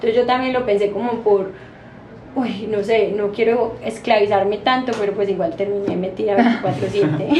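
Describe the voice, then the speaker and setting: A woman's voice at a medium pitch and fairly slow pace, with ordinary pitch variation, noticeable background noise and audible room echo. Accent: Antioquian. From Colombia, Medellín (paisa). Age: 30s. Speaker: pastry chef and bakery owner. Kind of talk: interview.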